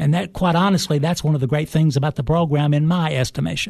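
Over a quiet background, a man's voice sits fairly high in pitch. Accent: Tennessee. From Cookeville, Tennessee. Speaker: high school ROTC instructor, retired army colonel. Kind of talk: interview. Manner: formal, frequent uhs.

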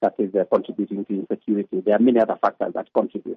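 A man with a Kenyan accent at a medium pitch and fairly even intonation. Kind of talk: interview. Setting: phone call.

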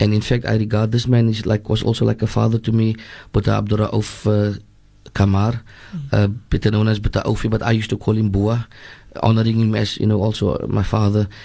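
Very fast speech with monotone, flat intonation and very even loudness comes through against a quiet background. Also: man. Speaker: imam. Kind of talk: religious talk on radio.

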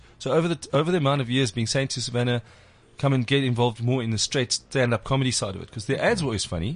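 A man's very fast, somewhat breathy speech at a medium pitch with ordinary pitch variation. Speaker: comedy podcast host. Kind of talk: casual chat. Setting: studio.

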